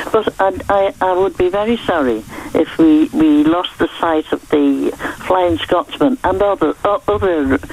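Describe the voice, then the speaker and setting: A fairly low-pitched woman at a fairly slow pace, with very wide pitch swings, very even loudness, and noticeable background noise. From northern England. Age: 80s+. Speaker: caller. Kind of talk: radio phone-in call.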